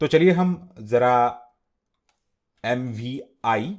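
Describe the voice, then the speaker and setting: A man with a non-native accent speaks at a medium pitch, his voice swinging very widely up and down. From India. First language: not Hindi (speaking Hindi). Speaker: teacher. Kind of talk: tutorial.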